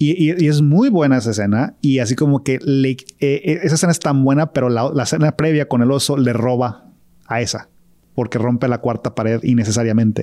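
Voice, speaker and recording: A man talks at a fairly quick pace in a dark, mellow tone, his medium pitch showing ordinary variation and his loudness very even. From Guadalajara, Mexico. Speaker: film podcast co-host. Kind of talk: casual chat.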